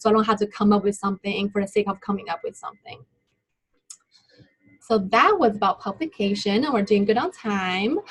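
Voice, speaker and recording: A woman with a non-native accent speaks at a medium pitch, somewhat breathy, with ordinary pitch variation. Her pace is fairly quick, broken by long, frequent pauses. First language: not English. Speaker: graduate student presenter. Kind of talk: webinar presentation. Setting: online webinar.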